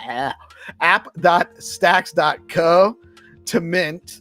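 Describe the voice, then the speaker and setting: With music in the background, a man with a Rhode Island accent speaks at a high pitch with ordinary pitch variation. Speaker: crypto news show host. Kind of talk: live news roundup show. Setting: live stream broadcast. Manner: casual, with fillers and restarts.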